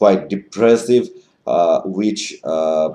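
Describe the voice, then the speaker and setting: With a Bengali accent, a man talks very slowly at a fairly low pitch. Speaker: online commentator. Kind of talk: advocacy monologue. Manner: halting, many fillers.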